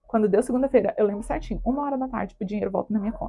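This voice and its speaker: A woman's dark, mellow voice at a very fast pace, with ordinary pitch variation. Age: 20s. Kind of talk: personal testimony talk to camera. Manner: casual, chatty.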